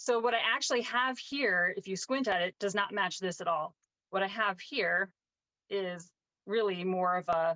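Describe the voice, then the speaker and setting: This woman has a plain, everyday voice, medium in pitch, with ordinary pitch variation, a moderate pace and very even loudness. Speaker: painting teacher. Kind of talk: tutorial. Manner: casual with frequent fillers.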